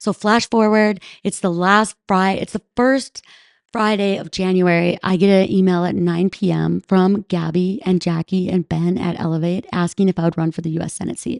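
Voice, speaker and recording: With an American accent, a woman in an unremarkable speaking voice talks at a moderate pace and medium pitch, her intonation fairly even, in a dry, close sound with no echo over a quiet background. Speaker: ski mountaineer and Senate candidate. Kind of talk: podcast interview.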